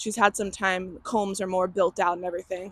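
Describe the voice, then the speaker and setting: The voice is loud, with a bright, sharp tone, on a very clean recording with a silent background and a dry, close sound with no echo. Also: woman. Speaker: beekeeper. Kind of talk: casual vlog narration. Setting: outdoors.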